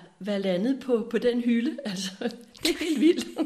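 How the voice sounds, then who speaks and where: Lively in intonation, a woman speaks in a somewhat breathy voice. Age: 60s. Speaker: spiritual seeker sharing her life story. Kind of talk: reflective interview conversation. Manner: halting with many hesitations.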